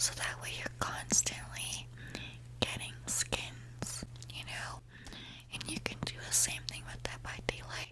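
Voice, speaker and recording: Someone whispers at a very slow pace with big swings in loudness. Noticeable background noise runs underneath. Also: woman. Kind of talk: ASMR whisper ramble to camera. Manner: whispered, soft-spoken.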